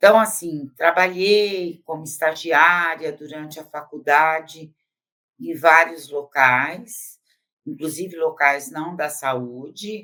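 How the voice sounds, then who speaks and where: This woman's voice is very deep and low in pitch, with a bright, sharp tone and ordinary pitch variation. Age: 70s. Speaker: psychologist. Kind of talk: interview. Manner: hesitant, with filler sounds.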